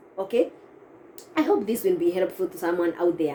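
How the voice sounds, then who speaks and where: Noticeable background noise runs under the clip. Over it, a woman speaks with lively intonation. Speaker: vlogger. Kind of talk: casual vlog advice. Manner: halting, with self-corrections.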